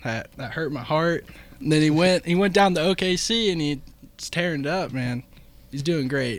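In an American accent, a man with a normal speaking voice speaks at a moderate pace with a fairly high pitch and lively intonation. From Illinois, Macomb. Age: 20s. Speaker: student shadowing radio show. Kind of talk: casual sports talk radio.

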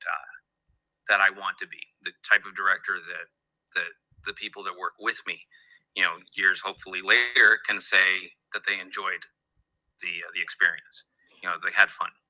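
This man speaks at a moderate pace. He leaves long, frequent pauses. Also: big swings in loudness, dry, close sound with no echo. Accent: American. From Los Angeles, US. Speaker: animation director. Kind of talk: interview.

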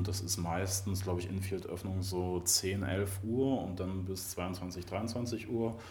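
In a room with audible echo, a man with a very deep, low, somewhat breathy voice and a dark, mellow tone speaks in a monotone, flat way. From Mecklenburg-Vorpommern, Germany. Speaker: animal-protection volunteer. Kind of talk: casual interview chat. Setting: music venue backstage before a show.

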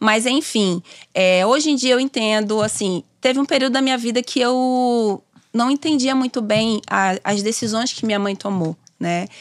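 In a very clean recording with a silent background, a woman with an ordinary speaking voice talks at a moderate pace, fairly high-pitched with ordinary pitch variation, the sound dry and close with no echo. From Bahia, Brazil (Simões Filho, near Salvador). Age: 30s. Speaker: doula and lawyer. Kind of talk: casual interview. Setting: studio.

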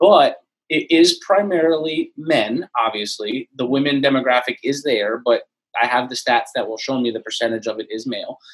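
This man has an American accent, a fairly high pitch, ordinary pitch variation and a moderate pace. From Florida. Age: 30s. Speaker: anonymous social media page creator. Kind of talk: casual interview chat.

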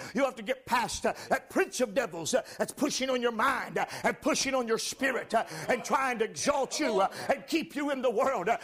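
An animated man at an extremely high pitch with ordinary variation, at a moderate pace, over noticeable background noise. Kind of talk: sermon. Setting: church. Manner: animated, forceful pulpit delivery with exclamations and call-and-response; emphatic, urgent, repeating lines for effect.

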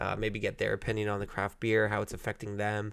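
An Ontario accent in a very clean recording with a silent background. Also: man. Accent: Canadian (Ontario). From Canada, Ontario (Burlington). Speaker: podcast host. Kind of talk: casual solo podcast monologue with beer tasting.

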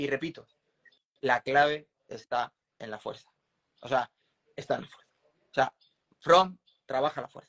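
Speaking at a fairly slow pace with long, frequent pauses, a man with a fairly high pitch shows big swings in loudness, the sound dry and close with no echo. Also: ordinary pitch variation. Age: 40s. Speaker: former Olympic triathlete and strength coach. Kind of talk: interview.

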